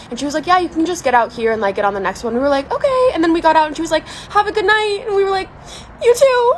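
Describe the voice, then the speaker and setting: A woman shouting loudly at a very fast pace, extremely high-pitched and animated, with very wide pitch swings over noticeable background noise. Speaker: beauty vlogger. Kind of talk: casual storytelling vlog with makeup tutorial. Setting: outdoors on a balcony. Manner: loud, yelling over noise.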